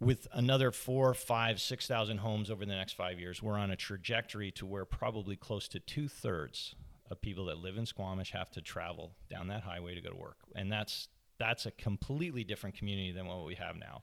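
On a very clean recording with a silent background, a man with a Canadian accent and an unremarkable speaking voice talks fairly quickly at a fairly low pitch with ordinary pitch variation. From Canada, Toronto area. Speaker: mayoral candidate. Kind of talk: interview. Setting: at home.

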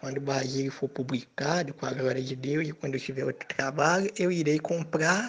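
There is noticeable background noise behind a man's voice. His intonation is fairly even. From Brazil, Minas Gerais. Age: 20s. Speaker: fiction writer. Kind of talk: casual interview.

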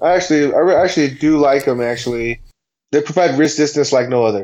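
Speaking at a moderate pace, a man with an American accent has a fairly high pitch. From San Diego, US West Coast. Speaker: personal trainer, podcast co-host. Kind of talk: casual chat.

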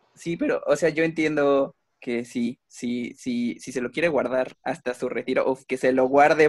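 A plain, everyday voice from a man, medium-pitched and fairly slow, with fairly even intonation and a dry, close sound with no echo. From Mexico. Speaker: visual artist. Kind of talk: casual chat.

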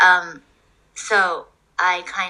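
A woman speaks with a Japanese accent. Her pitch sits in the medium range. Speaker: osteopath and artist. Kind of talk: casual chat. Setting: video call.

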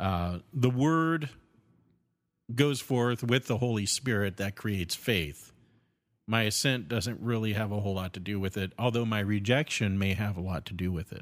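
On a very clean recording with a silent background, a man with an unremarkable speaking voice speaks at a moderate pace and a fairly low pitch, with ordinary pitch variation. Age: 40s. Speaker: podcast co-host. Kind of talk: casual chat about theology.

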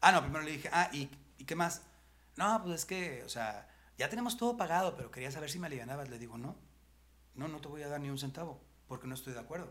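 A man with a bright, sharp tone and fairly high pitch speaks at a very fast pace with lively intonation, big swings in loudness and long, frequent pauses. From Mexico, Monterrey (Nuevo León). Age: 50s. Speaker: comedian and motivational speaker. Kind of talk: casual chat.

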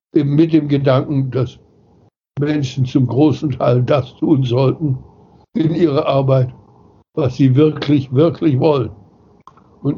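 Somewhat breathy, this man's voice sits fairly high in pitch. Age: 80s+. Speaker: philosopher and founder of the New Work movement. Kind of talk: interview.

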